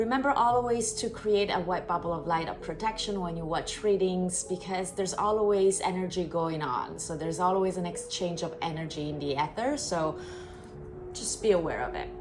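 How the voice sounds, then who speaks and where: A woman with a strong non-native accent speaks at a moderate pace, her medium pitch showing ordinary variation. The room has an audible echo and there is noticeable background noise. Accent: strong foreign. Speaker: tarot reader. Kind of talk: tarot reading with guided Reiki cleansing.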